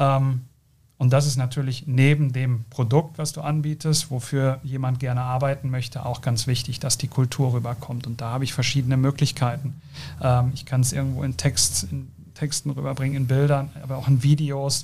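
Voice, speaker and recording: A man's medium-pitched voice at a moderate pace, with fairly even intonation and noticeable background noise. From South Westphalia, Germany. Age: 30s. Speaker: company co-founder. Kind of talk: interview. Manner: hesitant, many fillers.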